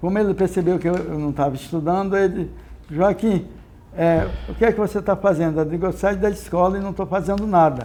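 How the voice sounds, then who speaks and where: A man speaks at a fairly quick pace with a high pitch, fairly even intonation and a dark, mellow tone. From Brazil, Sergipe (Northeast). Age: 70s. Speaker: retired navy petty officer. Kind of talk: oral history interview. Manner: halting, with repetitions.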